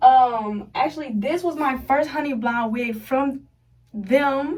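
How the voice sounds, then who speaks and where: With a high pitch and ordinary pitch variation, a woman speaks in an animated tone. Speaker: beauty vlogger. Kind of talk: casual tutorial vlog. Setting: bathroom. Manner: fast.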